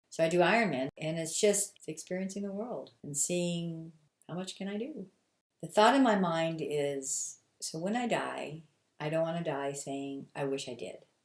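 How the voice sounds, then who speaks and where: A woman with an ordinary speaking voice talks at a moderate pace, her fairly low pitch carrying lively intonation and big swings in loudness. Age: 60s. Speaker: ultra runner. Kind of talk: documentary interview.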